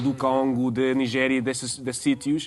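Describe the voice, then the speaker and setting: This man talks at a moderate pace in an American accent, his pitch medium. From United States. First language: English (speaking Portuguese). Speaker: tour guide. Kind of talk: TV interview. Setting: TV studio. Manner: halting, many fillers.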